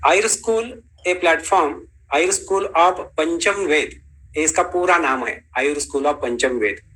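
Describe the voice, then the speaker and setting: Speaking in a Marathi accent, a man with a high voice has a bright, sharp tone and ordinary pitch variation. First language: Marathi (speaking Hindi). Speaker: ayurveda teacher. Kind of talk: lecture.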